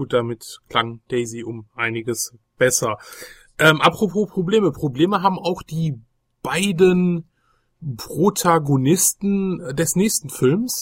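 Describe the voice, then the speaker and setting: A man with a high pitch and lively intonation speaks at a very slow pace, his voice dry and close with no echo in a very clean recording with a silent background. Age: 30s. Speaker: retro gaming podcast host. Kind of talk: casual chat. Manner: hesitant with many fillers.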